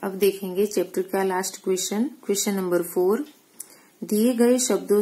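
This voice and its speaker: A woman with a Gujarati accent, her medium-pitched voice dark and mellow, fairly even intonation, on a very clean recording with a silent background. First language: Gujarati (speaking Hindi). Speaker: school teacher. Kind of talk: recorded lesson for pupils.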